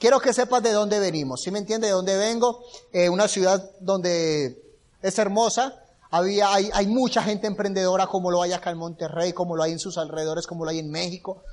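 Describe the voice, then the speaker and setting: A man's high-pitched, animated voice at a fairly quick pace, with ordinary pitch variation. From Colombia, Bucaramanga. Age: 20s. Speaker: motivational speaker. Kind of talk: motivational talk. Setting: stage with audience.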